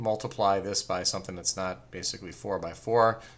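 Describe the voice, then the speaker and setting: Bright, sharp male tone, recorded very cleanly against a silent background. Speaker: math teacher. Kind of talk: tutorial.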